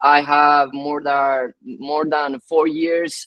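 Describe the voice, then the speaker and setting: A man speaks very slowly with a Spanish accent. His voice sits fairly high for a man. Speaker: tech entrepreneur. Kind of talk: webinar talk. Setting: online webinar. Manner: halting, many fillers and repetitions.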